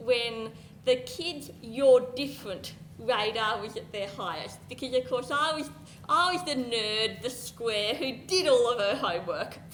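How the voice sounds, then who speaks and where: A woman's high-pitched voice with lively intonation at a fairly slow pace, amid audible room echo and noticeable background noise. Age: adult. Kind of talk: presentation.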